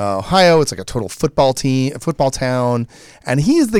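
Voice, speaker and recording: A man with an American accent and a normal speaking voice, fairly high in pitch, at a moderate pace, on a very clean recording with a silent background. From Michigan. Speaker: creator of a storytelling show. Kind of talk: casual chat. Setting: studio.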